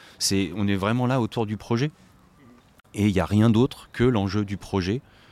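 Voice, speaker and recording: A man at a moderate pace, recorded with a dry, close sound and no echo. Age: 40s. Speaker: charity volunteer and finance manager. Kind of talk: interview. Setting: on location at a community restaurant. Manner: halting.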